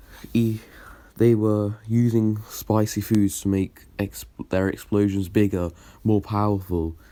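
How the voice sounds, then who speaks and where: A man's fairly low, dark and mellow voice moves very slowly in a flat monotone, recorded very cleanly over a silent background. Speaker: fan story narrator. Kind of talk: casual improvised story narration. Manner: hesitant, stuttering.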